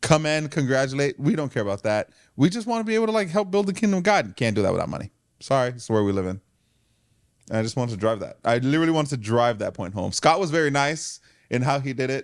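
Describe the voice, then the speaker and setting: On a very clean recording with a silent background, a man talks loud and very fast in a fairly high pitch, his animated tone marked by very wide pitch swings. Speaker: church leader and podcast co-host. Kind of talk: casual chat.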